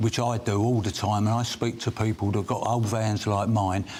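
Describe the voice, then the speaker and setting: Amid noticeable background noise, a man with a fairly low pitch talks at a moderate pace with fairly even intonation. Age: 70s. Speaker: self-employed builder. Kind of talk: debate interview.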